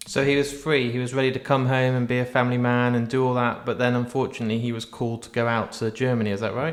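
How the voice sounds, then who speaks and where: Very fast, flat monotone speech in an English accent with hardly any pauses. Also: man, medium pitch for a man. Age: 40s. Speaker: podcast host. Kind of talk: casual chat.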